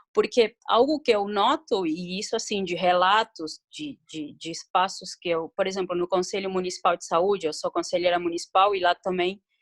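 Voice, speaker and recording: A speaker with a non-native accent talks at a fairly slow pace, in a dry, close sound with no echo. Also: woman. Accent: foreign accent noticeable in Portuguese. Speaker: municipal health council member. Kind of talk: video conference discussion. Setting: video call. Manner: halting.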